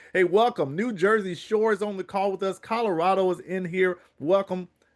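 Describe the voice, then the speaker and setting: With an American accent, a man speaks at a moderate pace in a high voice and an energetic tone. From US South, South Carolina. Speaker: online business call host. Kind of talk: motivational sales call. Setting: online conference call.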